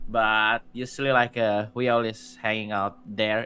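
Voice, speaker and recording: Music plays in the background as a man with a medium pitch speaks. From Indonesia. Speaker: visual artist and streamer. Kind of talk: casual chat. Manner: halting.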